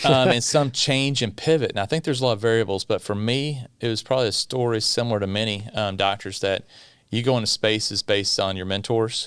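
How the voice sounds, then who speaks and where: In a very clean recording with a silent background, a man with a Kentucky accent talks very fast at medium pitch with ordinary pitch variation. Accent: Kentucky Southern US. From US South, South Central Kentucky (Bowling Green). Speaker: pediatrician. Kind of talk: podcast interview.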